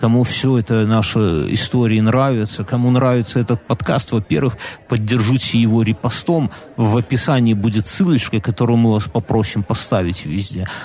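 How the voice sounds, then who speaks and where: The loudness stays very even while noticeable background noise runs underneath. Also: man, medium pitch for a man, ordinary pitch variation, moderate pace. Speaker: podcast co-host. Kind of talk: casual chat.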